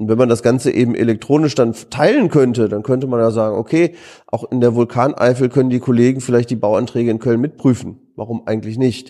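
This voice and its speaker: A man of medium pitch talks at a fairly quick pace with fairly even intonation and a dark, mellow tone. The background is quiet. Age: 40s. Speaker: economics professor. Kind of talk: interview. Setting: office room at institute.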